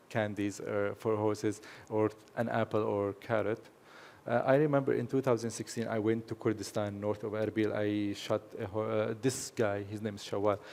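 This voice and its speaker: Monotone, flat intonation from a man, fairly low in pitch, at a moderate pace. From Syria (Aleppo), Kurdish family. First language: Kurdish. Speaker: horse photographer. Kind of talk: presentation to audience. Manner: hesitant, with fillers.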